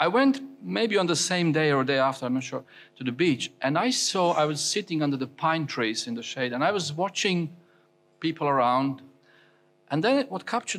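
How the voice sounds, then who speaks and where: The recording is very clean with a silent background. The speech moves at a moderate pace with lively intonation. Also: man, fairly high pitch for a man. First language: non-English. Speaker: preacher. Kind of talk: sermon. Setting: church. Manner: halting.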